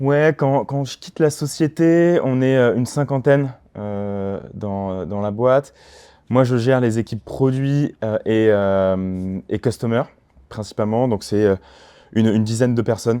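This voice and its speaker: This man has a dark, mellow tone and a slight Toulouse accent. His pitch varies in an ordinary way, and the background is quiet. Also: medium pitch for a man, fairly slow pace. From France, Toulouse. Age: 30s. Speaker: startup cofounder. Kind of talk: podcast interview. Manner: hesitant, many fillers.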